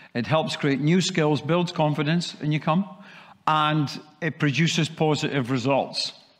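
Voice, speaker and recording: Speaking at a fairly slow pace with very even loudness and fairly even intonation, a man with a slight Scottish accent is heard over a quiet background. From Scotland. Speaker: sales training speaker; speaker. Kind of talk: presentation. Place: hall.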